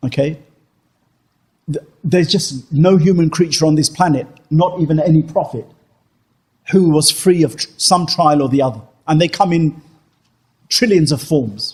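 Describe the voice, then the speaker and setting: This man's pitch varies in an ordinary way. He leaves long, frequent pauses. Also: fairly high pitch for a man, moderate pace. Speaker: Islamic teacher. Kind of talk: religious Q&A lecture. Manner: conversational, with many fillers.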